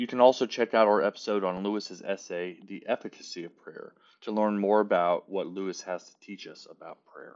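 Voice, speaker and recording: A man with a plain, everyday voice, a fairly low pitch and fairly even intonation. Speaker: podcast host. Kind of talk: poem reading. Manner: slow, measured, reverent.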